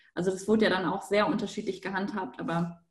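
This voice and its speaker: A woman's voice with vocal fry. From Hamburg, northern Germany. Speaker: university student. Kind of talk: panel discussion.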